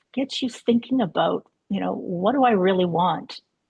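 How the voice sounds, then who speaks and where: Somewhat breathy and lively in intonation, a woman's voice comes across with a dry, close sound and no echo. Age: 60s. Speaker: spiritual coach. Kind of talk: online interview.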